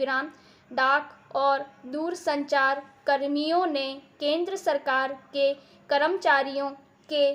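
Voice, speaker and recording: A woman with a high voice speaks in a flat monotone. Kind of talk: shorthand dictation read. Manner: slow, evenly paced.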